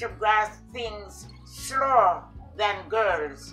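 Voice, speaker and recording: A woman's voice is heard with faint music in the background. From Jamaica. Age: 80s+. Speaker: retired educator, former vice principal. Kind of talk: interview answer. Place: home room. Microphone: camera far.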